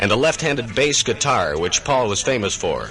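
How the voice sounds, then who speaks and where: Over music in the background, a man's pitch swings very widely. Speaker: radio DJ narrator. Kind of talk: radio docu-drama narration. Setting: 1969 AM radio broadcast.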